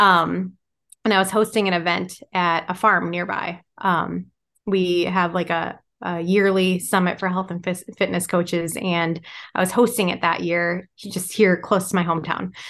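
A woman with an American accent, monotone, flat intonation and a moderate pace, over a quiet background. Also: fairly low pitch for a woman. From Michigan. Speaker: writer and farmer. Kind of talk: interview conversation.

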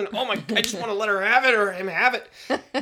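The man's voice has a bright, sharp tone. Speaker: podcast co-host. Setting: sharing one microphone, practice recording. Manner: relaxed, joking.

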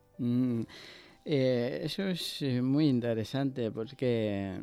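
The man's medium-pitched voice has a dark, mellow tone and ordinary pitch variation. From Ecuador. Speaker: churchgoer sharing faith testimony. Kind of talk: testimony. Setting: studio. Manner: halting.

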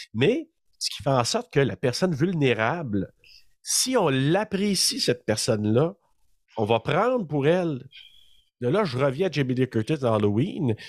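A man with a fairly high pitch and very wide pitch swings speaks at a fairly slow pace with long, frequent pauses, in a dry, close sound with no echo and a very clean recording over a silent background. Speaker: horror podcast co-host. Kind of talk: casual chat.

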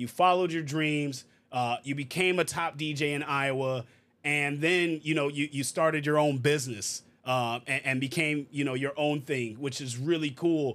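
Delivered in an ordinary speaking voice at a moderate pace, the speech has fairly even intonation on a very clean recording with a silent background. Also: man, fairly high pitch for a man. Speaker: podcast host. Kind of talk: casual interview chat.

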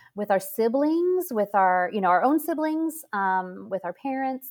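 A woman speaks at a moderate pace and a fairly high pitch, with hardly any pauses. Her pitch swings very widely and her loudness varies a lot, on a very clean recording with a silent background. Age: 50s. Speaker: author and mother of eight. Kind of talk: interview conversation.

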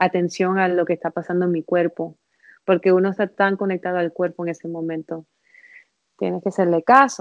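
In a dry, close sound with no echo, a woman with a normal speaking voice talks fairly quickly at a fairly low pitch, her intonation fairly even. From Miami, US. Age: 30s. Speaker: placenta encapsulation specialist. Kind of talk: casual interview, birth story.

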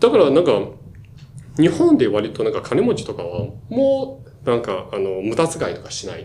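A man speaks at a moderate pace with big swings in loudness, amid noticeable background noise and audible room echo. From China, Shanghai. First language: Chinese (speaking Japanese). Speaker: management consultant. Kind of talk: casual chat. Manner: halting, many fillers.

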